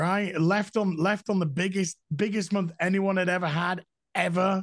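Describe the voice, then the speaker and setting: An animated, high-pitched man with a Yorkshire accent at a moderate pace, over a quiet background. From Yorkshire, northern England. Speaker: YouTuber. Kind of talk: casual chat.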